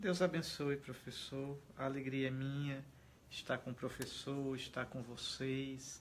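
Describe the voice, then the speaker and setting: A man of medium pitch at a fairly slow pace, with fairly even intonation. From Alagoas, Brazilian Northeast. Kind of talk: interview conversation. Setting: host's home.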